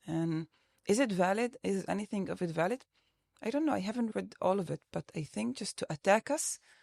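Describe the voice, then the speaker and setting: Heard as a dry, close sound with no echo, a woman speaks at a fairly quick pace with very wide pitch swings. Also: medium pitch for a woman. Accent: Arabic. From Palestinian citizen of Israel. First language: Arabic. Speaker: activist movement co-director. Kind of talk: podcast interview discussion.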